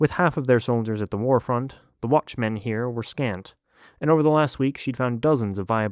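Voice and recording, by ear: Ordinary pitch variation and a quiet background behind reading aloud in a natural voice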